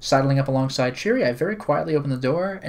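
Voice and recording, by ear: The clip is reading aloud in a natural voice.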